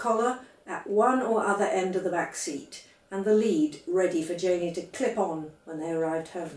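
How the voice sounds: A woman's fairly low, slightly mellow voice at a moderate pace, with audible room echo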